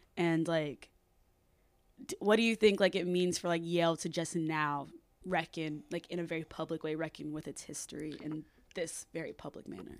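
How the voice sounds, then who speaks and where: A woman with an unremarkable speaking voice and a fairly low pitch talks at a moderate pace with fairly even intonation. Her loudness swings a lot in a very clean recording with a silent background. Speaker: student podcast host. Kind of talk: interview. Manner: frequent 'like' fillers.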